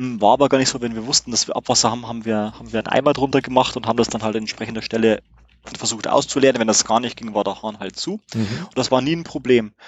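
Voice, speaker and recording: A man speaks at a very fast pace in a medium pitch, his intonation fairly even while his loudness swings widely. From Bavaria, Regensburg. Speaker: camper van traveller. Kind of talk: casual chat. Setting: in his motorhome. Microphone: good sound in motorhome.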